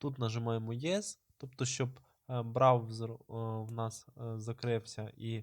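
This man speaks with a monotone, flat intonation. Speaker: YouTuber giving computer tutorials. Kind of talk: screen-recorded tutorial. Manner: hesitant, many filler sounds.

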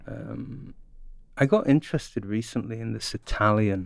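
A man with a London accent speaks at a fairly slow pace against a quiet background, the sound dry with no echo. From north London, England. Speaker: archaeologist and professor; professor. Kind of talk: casual chat. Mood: relaxed, amused. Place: studio. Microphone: studio mic.

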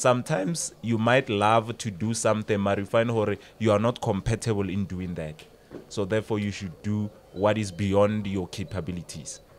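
With a South African accent, a man speaks at a fairly low pitch with ordinary pitch variation over light background noise. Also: moderate pace. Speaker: radio presenter and life coach. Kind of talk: casual podcast chat. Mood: relaxed, explanatory. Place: studio. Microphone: studio mic.

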